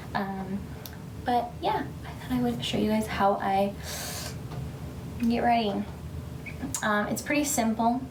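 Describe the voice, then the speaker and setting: A woman is whispering with audible room echo. Noticeable background noise is present. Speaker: beauty vlogger and stay-at-home mom. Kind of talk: casual get-ready-with-me vlog. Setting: at home, baby asleep in next room.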